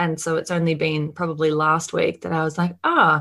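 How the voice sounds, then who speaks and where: A woman with an Australian accent speaks at a moderate pace in a fairly low pitch. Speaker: marketing mentor and agency owner. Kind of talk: podcast interview.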